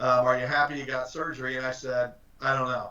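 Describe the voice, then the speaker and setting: Here we hear a man. His voice sits at a medium pitch. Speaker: recruiter, career guest speaker. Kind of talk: guest talk on job search. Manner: fast; casual, filler-heavy.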